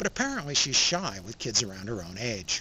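A man talks at a fairly quick pace. There is noticeable background noise, but the sound is dry with no echo. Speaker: film reviewer. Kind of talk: commentary. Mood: calm, warm. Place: forest. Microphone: phone near.

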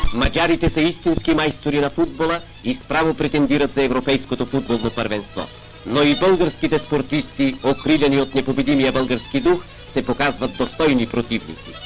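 Over music in the background, the voice moves at a moderate pace with ordinary pitch variation and very even loudness. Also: man, fairly high pitch for a man. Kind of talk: newsreel narration.

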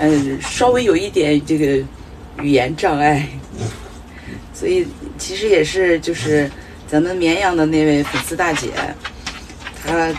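Amid noticeable background noise, a woman with a fairly low pitch speaks at a fairly slow pace with long, frequent pauses. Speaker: solo RV traveler vlogger. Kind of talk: casual vlog chat. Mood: relaxed, chatty, occasional laughs. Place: home room. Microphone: phone near.

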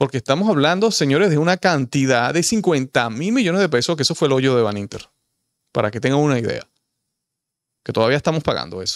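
A man with a Dominican accent, fairly high in pitch and animated in tone, at a fairly quick pace with very wide pitch swings, in a dry sound with no echo against a quiet background. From Dominican Republic. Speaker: political commentator. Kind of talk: opinion monologue. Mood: indignant, critical. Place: studio. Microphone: studio mic.

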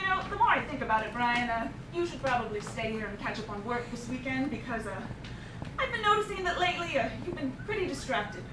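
Fairly quick and projected, a woman's raised voice comes through. Noticeable noise sits in the background. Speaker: actor playing a boss. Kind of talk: comedic character monologue. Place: stage.

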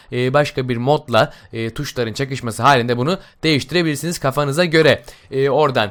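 A man speaks with an unremarkable speaking voice at a fairly high pitch. The recording is very clean, with a silent background. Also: ordinary pitch variation. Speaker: gaming YouTuber. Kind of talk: game mod tutorial. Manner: casual, many filler sounds.

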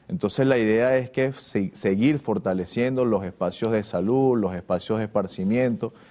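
At a moderate pace and with hardly any pauses, a man speaks in a dark, mellow tone of medium pitch, with ordinary pitch variation and very even loudness. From Venezuela, Valencia (Carabobo); Carabobo, Venezuela. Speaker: government official. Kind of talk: TV interview. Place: studio. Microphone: lapel.

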